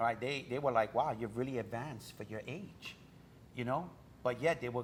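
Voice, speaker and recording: Somewhat breathy, a man speaks at a medium pitch. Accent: New York. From New York, Brooklyn. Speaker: author. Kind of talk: interview.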